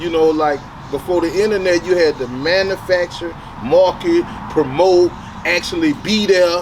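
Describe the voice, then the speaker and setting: A high-pitched man with an American accent, set against noticeable background noise. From Detroit, Michigan, then Baton Rouge, Louisiana from age nine. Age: 40s. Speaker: rapper. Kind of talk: interview.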